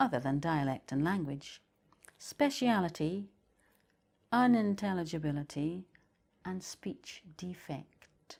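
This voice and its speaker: A woman with a Shetland accent speaks at a very slow pace and fairly low pitch. Her pitch swings very widely, and long, frequent pauses break up her speech. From Shetland, Scotland. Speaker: poet. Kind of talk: poetry reading.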